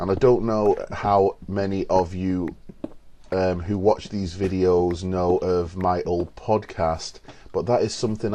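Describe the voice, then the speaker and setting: In an English accent, the voice has a dark, mellow tone and fairly even intonation. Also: man. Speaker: gamer. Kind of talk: gameplay commentary. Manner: halting, pauses mid-sentence; casual.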